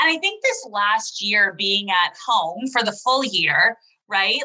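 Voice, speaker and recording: A woman with a plain, everyday voice, fairly high in pitch, at a fairly slow pace. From Canada. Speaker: podcast host. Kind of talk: interview; scripted narration. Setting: video call.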